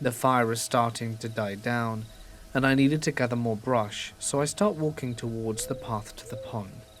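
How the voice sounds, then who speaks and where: Music in the background behind a man at a medium pitch, with fairly even intonation and a moderate pace. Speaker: horror story narrator. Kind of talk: scary story reading.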